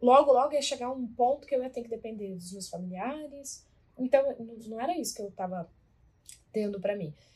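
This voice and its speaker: A woman's high voice with lively intonation, a fairly quick pace, big swings in loudness and long, frequent pauses. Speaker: podcast co-host, weight-loss coach. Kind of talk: casual chat.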